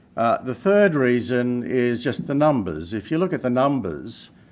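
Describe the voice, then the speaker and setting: A man speaks in an Australian accent with ordinary pitch variation. The recording is very clean, with a silent background. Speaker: mining company chairman. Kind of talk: investor pitch. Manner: halting, many fillers.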